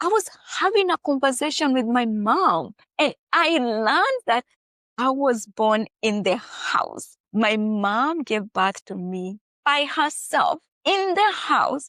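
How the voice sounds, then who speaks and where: Very slow, high-pitched speech from a woman with an East African accent, with very wide pitch swings and a dry, close sound with no echo. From Kenya. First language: Swahili. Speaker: author. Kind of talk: interview.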